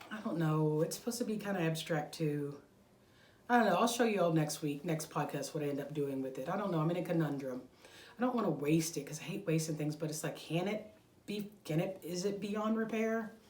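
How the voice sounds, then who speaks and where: A woman with a fairly low pitch at a fairly quick pace, amid audible room echo and noticeable background noise. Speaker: crochet podcaster. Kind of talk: casual chat. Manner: rambling, taking breaths.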